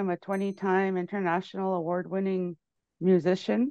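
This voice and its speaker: Over a quiet background, a woman speaks in a dark, mellow tone. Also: dry sound with no echo. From Canada, Cree First Nation in Manitoba. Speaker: musician and filmmaker; interview guest. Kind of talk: interview. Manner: halting, many fillers and repetitions. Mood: warm, friendly. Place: home room. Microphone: earbuds.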